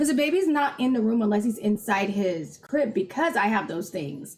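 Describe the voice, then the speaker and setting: Loud and fairly high, a woman's voice rises and falls in very wide pitch swings. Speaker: livestream co-host. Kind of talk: casual chat.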